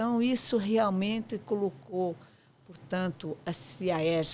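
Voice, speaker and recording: Very slow speech from a woman, pitch moving in an ordinary way. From Portugal. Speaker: architect, professional association president. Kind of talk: podcast interview. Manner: hesitant fillers, frequent 'portanto'.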